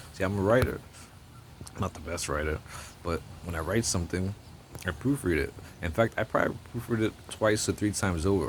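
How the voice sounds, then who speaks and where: Spoken at a fairly quick pace with a slight New Jersey accent and an animated tone, the voice shows ordinary pitch variation. Long, frequent pauses break up the speech. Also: man, very deep, low pitch for a man. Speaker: political commentator vlogger. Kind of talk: opinion rant to camera. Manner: animated, stammering repetitions.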